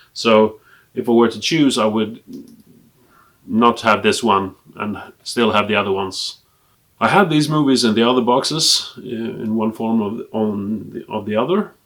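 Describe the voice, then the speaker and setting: A man speaks with a Swedish accent at a moderate pace, with long, frequent pauses. His medium pitch shows ordinary variation. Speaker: film collector and video blogger. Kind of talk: casual collection review to camera. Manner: hesitant, with frequent fillers.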